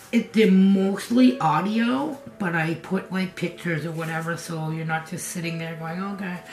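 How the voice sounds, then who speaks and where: Music plays in the background as a woman with a New England accent speaks. She keeps a moderate pace and ordinary pitch variation. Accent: New England American. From New England, US. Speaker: craft vlogger. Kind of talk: casual vlog. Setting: home kitchen studio. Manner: conversational, rambling with fillers.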